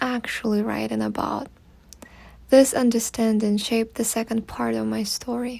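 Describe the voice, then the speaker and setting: At a moderate speed, a woman talks with a non-native accent. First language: not English. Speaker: fiction writer. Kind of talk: reflective vlog narration.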